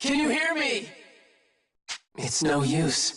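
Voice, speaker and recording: A man does a cartoonish character voice at a fairly slow pace. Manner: earnest.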